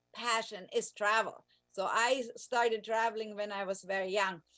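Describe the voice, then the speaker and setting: With a German accent, a woman speaks at a fairly high pitch. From Germany. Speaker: language teacher. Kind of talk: radio interview. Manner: halting, many fillers.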